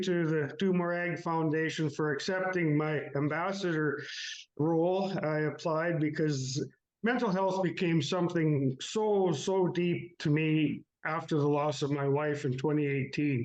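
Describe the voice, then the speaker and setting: With audible room echo, a man speaks fairly slowly at a fairly high pitch. His loudness is very even and his pitch varies in an ordinary way. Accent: Canadian Prairie. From Canadian Prairies, Saskatchewan. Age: 60s. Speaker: farmer. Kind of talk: interview about personal grief. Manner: halting, many fillers.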